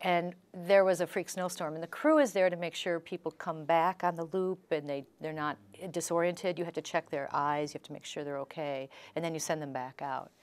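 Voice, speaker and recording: A woman talks at a fairly quick pace in an ordinary speaking voice, her pitch fairly low and her intonation fairly even. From Chicago. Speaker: author and former attorney; interviewee. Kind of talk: interview. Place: studio. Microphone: lapel.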